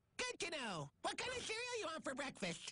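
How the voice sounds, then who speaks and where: This cartoonish character voice is squeaky and high-pitched, with very wide pitch swings. It moves at a fairly quick pace. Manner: dry, sarcastic.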